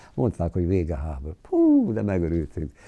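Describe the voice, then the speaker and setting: At a moderate pace, a man talks against a quiet background. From southern Slovakia, Hungarian minority. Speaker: war eyewitness; witness. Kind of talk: interview testimony. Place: home room. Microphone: lapel.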